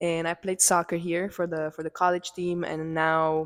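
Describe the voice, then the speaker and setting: A woman speaks at a moderate pace in a flat monotone, recorded very cleanly against a silent background. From Czech Republic. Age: 20s. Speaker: podcast co-host, soccer coach. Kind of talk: casual chat.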